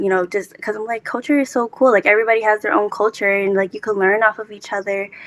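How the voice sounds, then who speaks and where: A woman with a Lao accent speaks at medium pitch, the sound dry and close with no echo. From United States, Laotian-American family. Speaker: HBCU student panelist. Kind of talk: panel discussion. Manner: casual, hesitant with many fillers.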